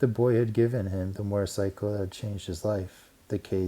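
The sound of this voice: The intonation stays fairly even. It comes from an unforced reading voice.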